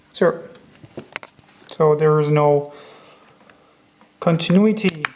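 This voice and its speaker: A man with a fairly high pitch speaks at a very slow pace. There is noticeable background noise. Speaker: watch restorer. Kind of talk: tutorial. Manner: soft-spoken; halting.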